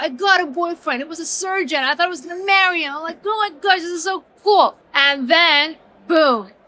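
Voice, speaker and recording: The voice is raised and projected, moving at a fairly quick pace with lively intonation. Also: woman. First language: not English. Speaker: entrepreneur, author. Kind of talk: interview. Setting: business conference.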